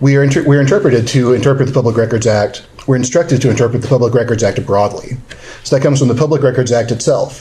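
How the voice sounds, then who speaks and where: Very fast and at very even loudness, a man of medium pitch talks through audible room echo and noticeable background noise. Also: ordinary pitch variation. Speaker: government lawyer giving training. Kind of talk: training seminar lecture. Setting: seminar room with live audience. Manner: mumbling.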